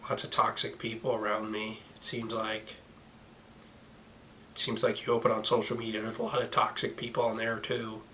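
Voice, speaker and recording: A man's speech broken by long, frequent pauses, with noticeable background noise. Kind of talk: casual talk to camera.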